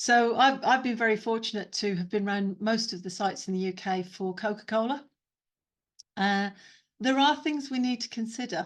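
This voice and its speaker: In a quiet background, a woman with a fairly high pitch uses a normal speaking voice at a moderate pace with ordinary pitch variation. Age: 50s. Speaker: neurodiversity trainer and consultant. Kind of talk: webinar talk with Q&A. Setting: video call.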